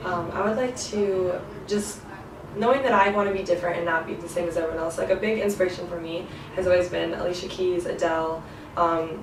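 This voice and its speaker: A woman with an American accent speaks fairly quickly in a fairly low voice with fairly even intonation. Room echo and noticeable background noise are audible. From US Midwest, rural Michigan. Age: 20s. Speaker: singer-songwriter. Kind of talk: interview. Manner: casual, many fillers.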